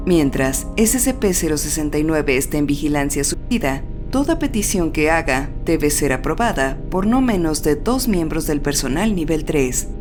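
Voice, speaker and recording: Over music in the background, a woman with a very deep, low pitch speaks at a moderate pace with hardly any pauses, very wide pitch swings and very even loudness. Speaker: horror and SCP narrator. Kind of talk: SCP file narration. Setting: older home recording.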